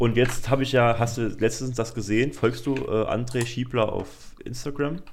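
A man talks at a moderate pace in a medium pitch, with hardly any pauses. His intonation is fairly even, and audible room echo comes through. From Germany, Saarland. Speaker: student podcaster. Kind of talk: casual chat. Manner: halting.

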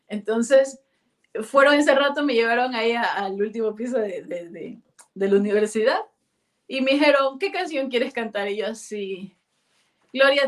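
With lively intonation, a woman speaks at a moderate pace in a high voice. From Ecuador, Guayaquil. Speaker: singer. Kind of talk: interview. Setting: video call. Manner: halting.

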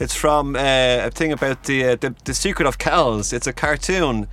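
The speaker is a man. He talks with a Dublin accent. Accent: Irish (Dublin). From Ireland, Dublin area. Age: 40s. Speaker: calligrapher and workshop organiser. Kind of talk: casual interview chat. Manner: halting, many fillers.

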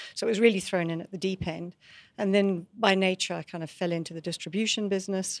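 A woman speaks at a very fast pace with a medium pitch in a very clean recording with a silent background. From Scotland. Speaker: tech company executive. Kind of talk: interview.

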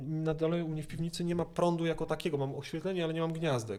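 The speaker's tone is dark and mellow. The delivery moves at a fairly quick pace. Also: man. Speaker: cellist and music lecturer. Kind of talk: interview.

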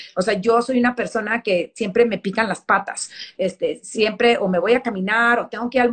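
A woman has a plain, everyday voice. She speaks at a moderate pace with fairly even intonation. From Texas, El Paso. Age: 40s. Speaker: fashion magazine editor. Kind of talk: interview.

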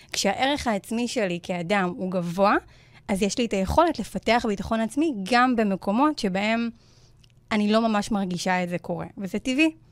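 A woman's medium-pitched, ordinary speaking voice, with lively intonation and a moderate pace. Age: 20s. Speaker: self-confidence coach. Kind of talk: interview conversation on radio show.

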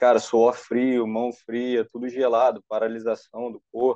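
Very slowly, a man speaks at medium pitch in a dark, mellow tone, with a dry, close sound and no echo. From Brazil, Rio de Janeiro area (Nova Iguaçu). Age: young. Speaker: triathlete. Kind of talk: personal testimony.

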